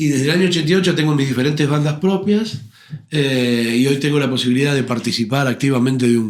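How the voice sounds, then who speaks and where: At a very fast pace, a man talks with a fairly high pitch and ordinary pitch variation. His loudness stays very even. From Argentina, Buenos Aires conurbano (Avellaneda area). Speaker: tango and rock singer, actor. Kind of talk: interview conversation.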